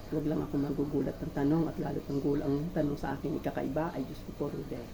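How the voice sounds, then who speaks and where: Over noticeable background noise and audible room echo, a woman speaks very fast at a very deep, low pitch with flat, monotone intonation. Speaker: vlogger. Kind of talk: casual cooking vlog monologue. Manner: halting, many fillers.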